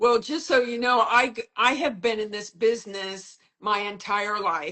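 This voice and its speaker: An ordinary speaking voice, a woman's, has a fairly high pitch and moves at a fairly slow pace. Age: 60s. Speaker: modeling agent and mentor. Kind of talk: casual chat. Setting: Instagram live video call.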